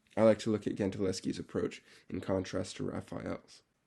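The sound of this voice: A man speaks at a moderate pace with a fairly low pitch and a dark, mellow tone. His voice is raspy, with vocal fry and a slightly husky edge.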